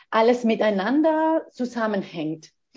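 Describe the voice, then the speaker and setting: A woman's fairly high voice with a Spanish accent and very wide pitch swings. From Spain. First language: Spanish (speaking German). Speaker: postdoctoral geographer. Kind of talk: interview. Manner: halting, many fillers.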